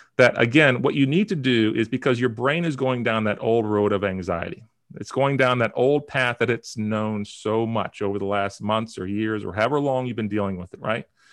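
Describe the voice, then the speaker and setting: Here a man speaks fairly quickly in a plain, everyday voice. His pitch is medium, with ordinary variation. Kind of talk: guided breathing exercise instruction, tutorial-style. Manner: calm, clear, step-by-step coaching pace.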